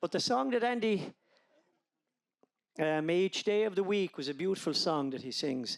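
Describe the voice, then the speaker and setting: A high-pitched man with an Irish accent and lively intonation, at a moderate pace with long, frequent pauses, in a very clean recording with a silent background. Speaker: wedding guest giving a speech. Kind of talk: wedding speech. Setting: wedding reception.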